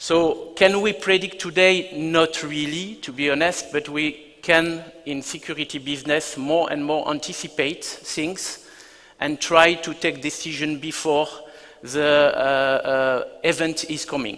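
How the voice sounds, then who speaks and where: Speaking with a French accent, a man uses a fairly high pitch and a bright, sharp tone, going at a fairly slow pace with fairly even intonation. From France. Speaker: business executive. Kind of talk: keynote presentation. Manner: hesitant, many fillers.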